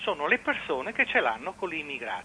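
A man's pitch swings very widely. His pace is moderate. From Venice. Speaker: caller. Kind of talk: radio call-in comment. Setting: phone call.

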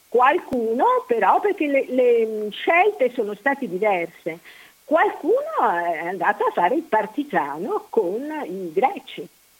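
A woman with a high voice speaks very slowly, her pitch swinging very widely, over noticeable background noise. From Mestre, Veneto (Venice area). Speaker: historical researcher. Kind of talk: interview, historical narration. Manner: halting, many fillers.

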